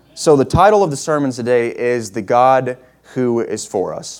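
With an ordinary speaking voice, a man holds a medium pitch that varies in an ordinary way. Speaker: guest preacher. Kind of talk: sermon. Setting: church with congregation.

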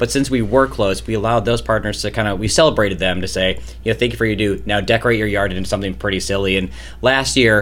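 A man talks at a very fast pace with a fairly low pitch, lively intonation and vocal fry. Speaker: charity staffer guest. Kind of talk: casual interview chat.

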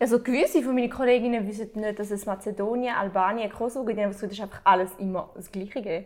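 A woman's fairly high voice at a very fast pace, with hardly any pauses and big swings in loudness. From Switzerland. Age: 20s. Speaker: interviewer. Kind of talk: casual chat. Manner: animated.

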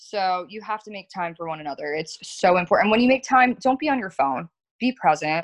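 With an American accent, a woman talks at a fairly quick pace and a medium pitch, her voice making very wide pitch swings and big swings in loudness, in a dry, close sound with no echo. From South Florida. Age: 20s. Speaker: florist and business owner. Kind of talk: casual chat.

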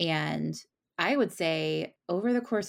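A woman speaks at a moderate pace with a fairly low pitch. She has an unremarkable speaking voice. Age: 30s. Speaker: romance novelist. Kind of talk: casual interview.

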